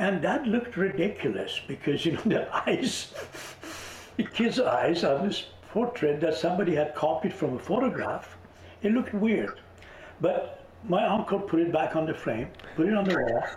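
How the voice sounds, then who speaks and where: A high-pitched man at a moderate pace with lively intonation, amid noticeable background noise and audible room echo. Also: very even loudness. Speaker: visionary artist and author. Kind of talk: interview.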